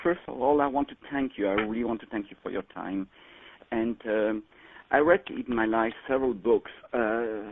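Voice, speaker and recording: A man with a French accent talks at a moderate pace in a fairly low pitch. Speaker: caller. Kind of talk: call-in question.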